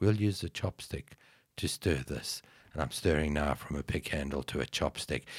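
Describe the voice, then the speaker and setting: On a very clean recording with a silent background, a man talks at a moderate pace. His voice shows vocal fry and ordinary pitch variation. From South Africa. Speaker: IT strategist and yogi. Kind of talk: casual podcast interview.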